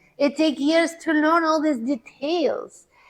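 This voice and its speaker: Fairly slow speech with a non-native accent. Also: woman. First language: not English. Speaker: seminar speaker. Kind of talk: testimony with slide presentation.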